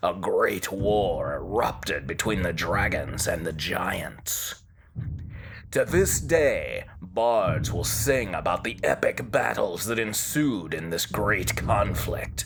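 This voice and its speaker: Over clear background noise, a man talks at a very slow pace in a put-on character voice. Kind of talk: fantasy lore storytelling. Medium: read story. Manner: measured, storytelling.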